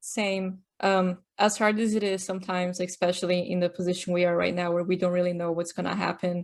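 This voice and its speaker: A woman with a Portuguese accent speaks at a fairly quick pace, with hardly any pauses. Her medium-pitched voice is monotone and flat. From Brazil, São Paulo. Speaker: podcast host, technical artist. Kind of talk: casual chat; scripted narration. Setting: podcast recording.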